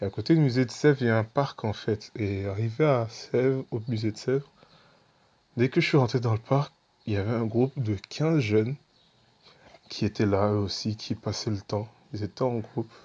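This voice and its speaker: A man talks with long, frequent pauses. His tone is dark and mellow, with ordinary pitch variation. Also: medium pitch for a man, moderate pace. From Senegal. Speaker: evangelist. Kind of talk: testimony. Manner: casual, conversational.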